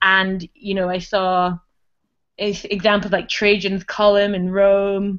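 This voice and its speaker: Monotone, flat intonation at a very slow pace. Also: woman, medium pitch for a woman. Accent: Scottish. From Scotland. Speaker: comic artist. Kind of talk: casual chat.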